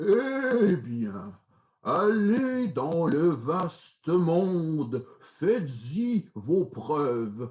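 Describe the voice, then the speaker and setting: A man puts on a character voice, pitched high with very wide pitch swings. He speaks at a very slow pace. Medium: read story.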